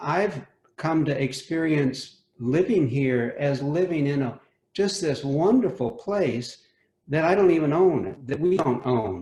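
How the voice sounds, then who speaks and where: This man's fairly high pitch carries a lively intonation at a fairly slow pace. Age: 60s. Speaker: homeowner. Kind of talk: casual chat. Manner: halting.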